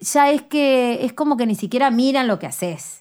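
A woman speaks at a moderate pace with a Uruguayan accent and a high pitch. Her intonation is lively, and the recording is very clean with a silent background. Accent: Uruguayan Rioplatense Spanish. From Uruguay, city of Canelones. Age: 30s. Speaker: singer and artist. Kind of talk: interview conversation. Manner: halting, many fillers.

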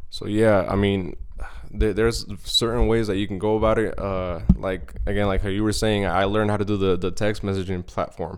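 A fairly low-pitched man at a fairly quick pace, with fairly even intonation and audible room echo. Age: 20s. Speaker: podcast co-host. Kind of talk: casual chat. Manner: halting.

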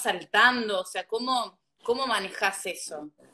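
The woman's tone is bright and sharp. Her intonation is fairly even. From Uruguay, interior. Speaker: podcast host. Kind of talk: interview.

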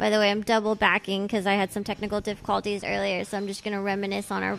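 Talking at a very fast pace, a woman with a medium pitch speaks in a Californian accent. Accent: Valley Californian. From Los Angeles, San Fernando Valley. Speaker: podcast host. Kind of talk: casual interview chat. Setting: tattoo shop, recorded while guest is being tattooed.

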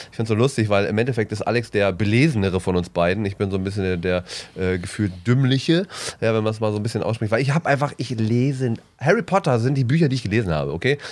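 Very fast and with lively intonation, a man talks at a medium pitch. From East Westphalia, Bielefeld. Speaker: comedian, podcast co-host. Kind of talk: casual chat.

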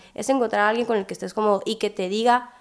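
Here a woman talks with fairly even intonation. Her pitch is fairly high. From Hermosillo, Sonora, Mexico. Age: 20s. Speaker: student and young mother. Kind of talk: podcast interview.

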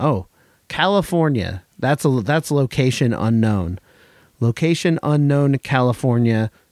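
On a very clean recording with a silent background and a dry, close sound with no echo, a man with an American accent speaks very slowly at medium pitch with lively intonation. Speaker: hardcore podcast and radio host. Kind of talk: radio DJ patter between tracks, casual independent hardcore show. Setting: studio.

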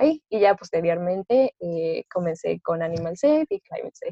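A woman talks with a Mexican accent and ordinary pitch variation. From Mexico, Orizaba, Veracruz. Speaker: student activist. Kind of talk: interview.

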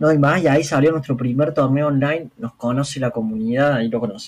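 A man's fairly high voice at a moderate pace, a normal speaking voice with ordinary pitch variation. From Argentina, Córdoba. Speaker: fighting game team captain. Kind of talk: casual interview.

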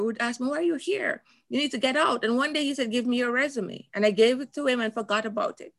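A woman talks at a very fast pace with ordinary pitch variation. The recording is very clean, the background silent. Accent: Jamaican. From Jamaica. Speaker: motivational speaker and coach. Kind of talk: interview.

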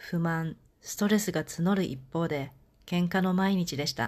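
A woman speaks in an unremarkable speaking voice, fairly low in pitch with fairly even intonation. The background is quiet. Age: 40s. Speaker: podcast host and life coach. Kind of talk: scripted monologue.

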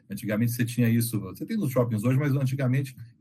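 Somewhat breathy, this man's voice has a dark, mellow tone at a medium pitch. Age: 40s. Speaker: game designer. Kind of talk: casual chat.

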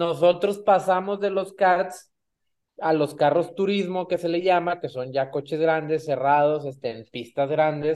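A man with a high pitch at a fairly slow pace. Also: ordinary pitch variation. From Mexico, Monterrey. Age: 30s. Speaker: racing driver. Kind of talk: interview.

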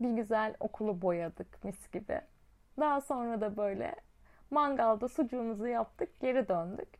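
Speaking at a fairly slow pace, a woman with an unremarkable speaking voice has a fairly high pitch and ordinary pitch variation over a quiet background. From Çukurova, southern Turkey. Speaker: podcast host and teacher. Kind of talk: casual monologue. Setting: at home.

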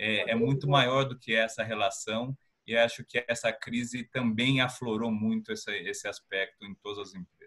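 Using an ordinary speaking voice, a man speaks at a moderate pace and medium pitch with fairly even intonation and big swings in loudness. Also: hardly any pauses. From interior of São Paulo state, Piracicaba. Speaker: company president. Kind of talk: panel discussion. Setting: video call from home.

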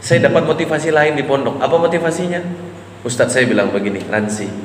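This man's tone is animated, with noticeable noise behind him. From Riau, Indonesia. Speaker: Islamic preacher. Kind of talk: sermon. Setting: mosque talk with audience.

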